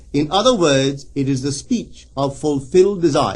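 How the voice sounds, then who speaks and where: His intonation is lively. This man, somewhat breathy, keeps a moderate pace. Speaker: metaphysical lecturer. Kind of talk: recorded spiritual lecture.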